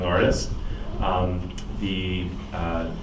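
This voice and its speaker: The speaker is a man with a Long Island accent. Room echo is audible, and background noise is noticeable. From Long Island, New York. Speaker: guest conductor. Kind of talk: pre-concert talk to audience. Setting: talk with live audience, own microphone.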